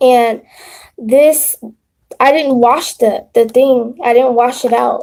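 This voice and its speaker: A woman at high pitch, fairly slow pace, fairly even intonation. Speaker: spiritual content creator. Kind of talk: live stream tutorial. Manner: stuttering; casual.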